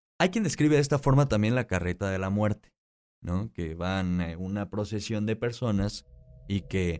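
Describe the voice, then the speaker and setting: Over music in the background, a man speaks with lively intonation at a moderate pace. His pitch is very deep and low. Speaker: radio host. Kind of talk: radio talk show. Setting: studio.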